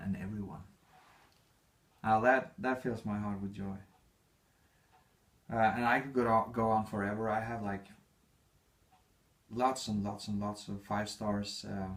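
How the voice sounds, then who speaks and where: The speaker has a non-native accent and moves at a fairly slow pace, with long, frequent pauses. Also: man. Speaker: author. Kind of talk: reading aloud. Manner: halting.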